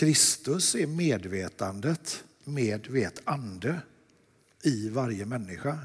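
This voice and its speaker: A man speaks at a medium pitch with very wide pitch swings. Vocal fry is present in his voice. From Sweden, Lerum near Gothenburg. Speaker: artist. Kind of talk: dialogue sermon in church.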